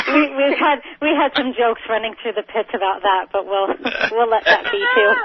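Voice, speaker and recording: This woman speaks with an American accent at a fairly high pitch and a fairly quick pace, her intonation lively. Noticeable background noise sits behind her. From New York, Long Island. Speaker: drag racer. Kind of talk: radio interview.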